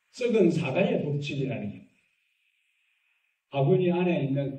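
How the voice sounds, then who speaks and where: At a fairly slow pace, a man with a fairly high pitch speaks amid audible room echo. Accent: Gyeongsang. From Gyeongsang region, Korea. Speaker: pastor. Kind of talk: sermon.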